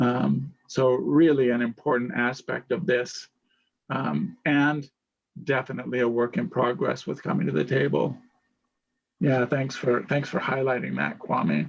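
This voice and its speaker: In a normal speaking voice, the delivery moves at a fairly slow pace with lively intonation. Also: man, medium pitch for a man. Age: 60s. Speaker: panel moderator. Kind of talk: panel discussion.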